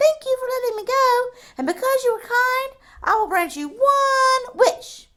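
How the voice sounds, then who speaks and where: A woman puts on a squeaky character voice at an extremely high pitch, with lively intonation and a moderate pace. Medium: read story.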